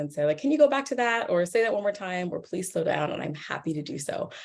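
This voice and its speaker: In a New York accent, a woman talks at a very fast pace. Her medium-pitched voice has very wide pitch swings. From US Northeast, New York. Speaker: professor. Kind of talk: lecture. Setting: video call. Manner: animated.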